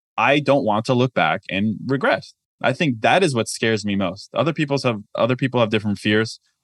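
Against a quiet background, a man with a plain, everyday voice talks at a fairly quick pace. His pitch is medium with ordinary variation. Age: 30s. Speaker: podcast host and author. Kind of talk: interview.

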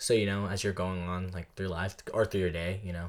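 A man's very deep, low voice in an American accent, monotone and flat, on a very clean recording with a silent background. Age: 19. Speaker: podcast guest. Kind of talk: casual chat. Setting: studio.

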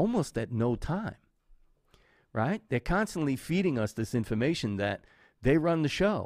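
With a New York accent, a man speaks at a fairly slow pace with very wide pitch swings on a very clean recording with a silent background. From Brooklyn, New York. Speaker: podcast host and chef. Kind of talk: casual livestream monologue. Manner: animated.

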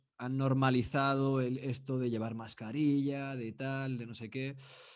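Against a quiet background, a man at medium pitch has an unremarkable speaking voice, fairly even intonation and a moderate pace. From Spain. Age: 30s. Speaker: podcast co-host, psychology student. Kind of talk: casual chat.

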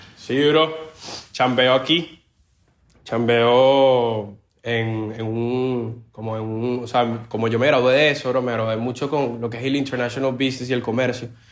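A man's monotone, flat delivery at a fairly slow pace, with audible room echo. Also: medium pitch for a man. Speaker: singer. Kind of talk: casual interview.

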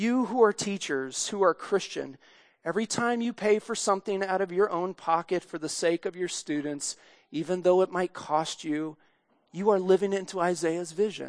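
A woman with a plain, everyday voice speaks at a medium pitch and a moderate pace with ordinary pitch variation, in a dry, close sound with no echo against a quiet background. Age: 40s. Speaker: pastor. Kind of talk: sermon.

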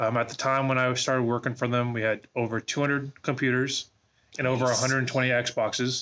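Monotone and flat in intonation, a man with a bright, sharp tone talks at medium pitch and a moderate pace. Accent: American. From Southern California, US. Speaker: university esports program staff. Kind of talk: guided tour; interview. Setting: esports arena.

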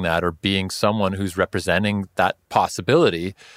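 Fairly low-pitched with ordinary variation, a man talks in an ordinary speaking voice. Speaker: podcast host. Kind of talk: casual interview conversation.

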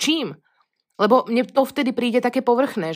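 Recorded very cleanly with a silent background, a woman talks with a western Slovak accent. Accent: hard-sounding western Slovak speech. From western Slovakia, Pezinok. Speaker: podcast co-host. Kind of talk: casual chat. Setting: recording together in person.

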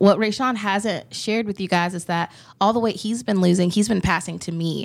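A woman with a Southern US accent talks at a fairly quick pace with ordinary pitch variation. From US South, Augusta Georgia. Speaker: student intern, co-host. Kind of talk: casual chat. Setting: studio.

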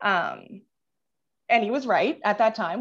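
A woman speaks at a moderate pace with lively intonation. The background is quiet. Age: 30s. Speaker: nurse. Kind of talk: personal testimony. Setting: video call.

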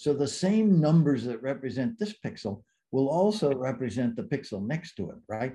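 A man's fairly high, somewhat breathy voice with a dark, mellow tone, very wide pitch swings and a moderate pace. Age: 80s+. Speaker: emeritus psychology professor. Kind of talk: long-form interview. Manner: hesitant, many fillers.

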